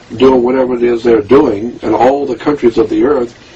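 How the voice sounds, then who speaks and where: There is noticeable background noise as a man speaks at a moderate speed. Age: 70s. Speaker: conspiracy researcher and author. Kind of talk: interview monologue. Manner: animated.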